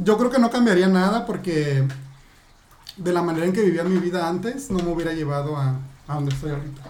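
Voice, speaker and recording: The speech comes at a fairly quick pace amid noticeable background noise. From Mexico, Acapulco. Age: 30s. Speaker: adult content creator. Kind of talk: interview.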